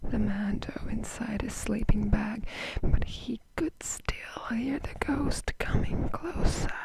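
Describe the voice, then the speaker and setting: A whisper, very slow in pace, over clearly audible background noise. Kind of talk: read story. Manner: soft-spoken, whispered.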